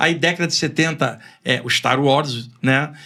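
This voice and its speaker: The tone is bright and sharp, delivered at a fairly slow pace. The recording is very clean, with a silent background. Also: man. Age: 60s. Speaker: spiritualist author. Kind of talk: podcast interview. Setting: studio.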